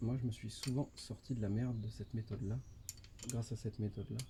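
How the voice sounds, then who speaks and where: Talking fairly quickly at a medium pitch, a man keeps a monotone, flat intonation and leaves long, frequent pauses. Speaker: motorcycle DIY youtuber. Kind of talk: tutorial. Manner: casual, hesitant with fillers.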